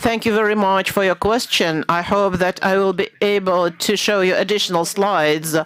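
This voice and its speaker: A woman's voice shows ordinary pitch variation against noticeable background noise. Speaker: architect presenting a competition entry. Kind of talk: presentation answering jury question.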